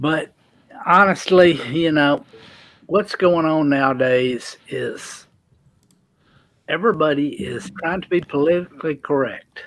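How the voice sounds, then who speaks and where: A man with a Southern US accent, fairly high in pitch with ordinary variation, with long, frequent pauses, on a very clean recording over a silent background. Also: fairly slow pace. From US South. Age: 60s. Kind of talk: casual chat.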